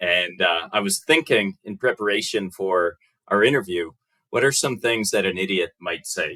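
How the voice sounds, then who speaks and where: In a dry, close sound with no echo, a man with an American accent speaks at a fairly low pitch with a bright, sharp tone and ordinary pitch variation. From United States. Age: 30s. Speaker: podcast guest. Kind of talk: casual chat. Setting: podcast recording.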